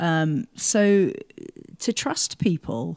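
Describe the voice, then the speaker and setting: In a very clean recording with a silent background, a woman with a fairly low voice speaks in a dry, close sound with no echo. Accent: British. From England. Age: 50s. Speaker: mental health program coordinator. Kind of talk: interview.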